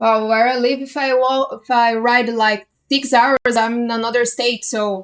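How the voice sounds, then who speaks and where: A woman with a Brazilian accent talks at a high pitch in a monotone, flat way. Her pace is fairly slow, with hardly any pauses. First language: Portuguese. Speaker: community interviewer. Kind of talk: casual interview.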